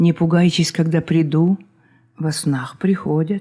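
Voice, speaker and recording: A woman's fairly low, somewhat breathy voice with a dark, mellow tone. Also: very clean recording, silent background. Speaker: poet reading her own work. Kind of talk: poetry reading.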